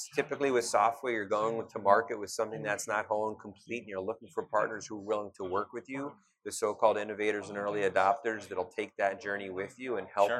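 A fairly low-pitched man with an American accent at a very fast pace, hardly any pauses and fairly even intonation. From US Midwest, Cleveland, Ohio. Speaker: startup ecosystem investor. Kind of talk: interview. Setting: live at a startup expo.

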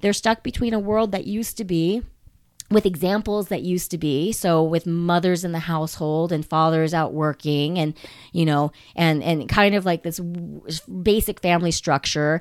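The recording is very clean, with a silent background. A woman speaks at a fairly low pitch and a moderate pace, with ordinary pitch variation. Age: 40s. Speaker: salon owner. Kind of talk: casual interview chat. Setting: guest's salon. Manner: halting, many fillers and restarts.

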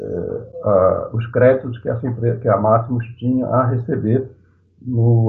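A man talks at a fairly slow pace in a medium pitch, his intonation monotone and flat. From Rio de Janeiro, Brazil. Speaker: activist, IT professional. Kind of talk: panel discussion.

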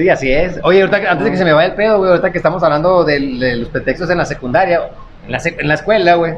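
A man speaks at a very fast pace with a high pitch and ordinary pitch variation. Noticeable background noise sits behind him. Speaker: comedy podcast co-host. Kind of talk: casual chat. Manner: animated.

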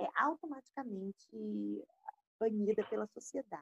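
Her voice somewhat breathy and fairly high, a woman speaks at a moderate pace. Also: dry, close sound with no echo. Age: 30s. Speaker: psychologist. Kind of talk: casual chat.

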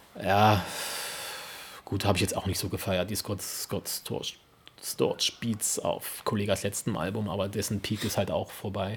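The man's voice is fairly low and somewhat breathy. He speaks at a fairly slow pace. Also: long, frequent pauses. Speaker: podcast co-host. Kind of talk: casual chat.

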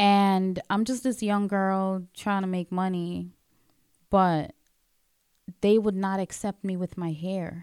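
A woman at a very slow pace with long, frequent pauses, medium pitch and fairly even intonation, in a dry, close sound with no echo. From Guyana. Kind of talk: casual chat.

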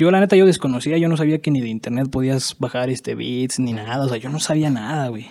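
Very fast, nearly pauseless speech from a man with a dark, mellow tone. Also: ordinary pitch variation. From Mexico, Michoacán (Pátzcuaro). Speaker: rapper. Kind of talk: casual chat. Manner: halting.

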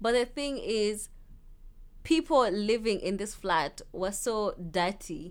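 Lively intonation marks this voice with a Kenyan accent. The pace is very slow. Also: woman, fairly high pitch for a woman. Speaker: university student. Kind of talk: casual chat. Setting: studio.

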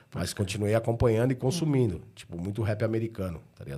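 A man's dark, mellow tone at a fairly quick pace. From São Paulo, Ipiranga. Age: 40s. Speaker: rapper. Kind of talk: casual chat.

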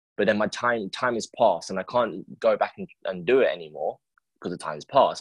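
The recording of this man is dry and close with no echo, against a quiet background. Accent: London. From England, London. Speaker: podcast host. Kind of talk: casual interview.

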